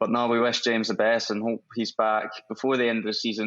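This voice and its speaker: In a Scottish accent, a man of medium pitch speaks at a moderate pace with monotone, flat intonation. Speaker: professional footballer. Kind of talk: interview. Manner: hesitant, many fillers.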